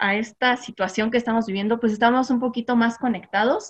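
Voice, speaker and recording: Her intonation stays fairly even. This woman's pitch is fairly high. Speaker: mom influencer. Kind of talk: casual chat. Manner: loud.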